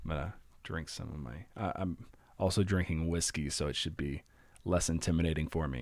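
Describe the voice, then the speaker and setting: A man with a very deep, low pitch, ordinary pitch variation and a fairly quick pace. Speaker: horror story narrator streamer. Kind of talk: casual live chat. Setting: live stream. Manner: halting, stuttering.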